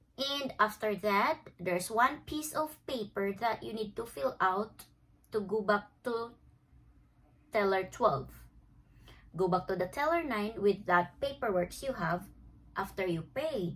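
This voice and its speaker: With lively intonation, a woman at a medium pitch speaks at a fairly slow pace and takes long, frequent pauses. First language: Filipino. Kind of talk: casual talk to camera.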